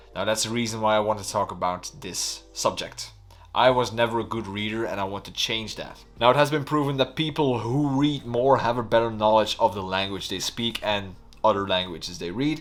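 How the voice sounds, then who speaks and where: This man has a Flemish accent and a medium pitch. He speaks at a fairly quick pace. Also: ordinary pitch variation. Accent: Flemish Dutch accent in English. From Belgium (Flanders). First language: Dutch. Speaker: YouTuber. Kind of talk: vlog monologue.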